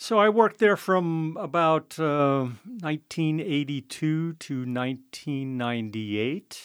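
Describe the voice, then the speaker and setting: A man talks at a fairly slow pace with lively intonation. His pitch sits fairly high. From US West Coast, San Francisco. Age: 60s. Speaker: winemaker. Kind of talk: interview. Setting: studio. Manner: hesitant, many fillers.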